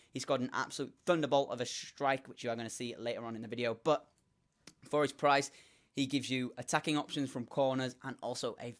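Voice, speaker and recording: A man's medium-pitched voice, fairly quick and fairly even in intonation, on a very clean recording with a silent background. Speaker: gaming youtuber. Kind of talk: game commentary tutorial. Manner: fast.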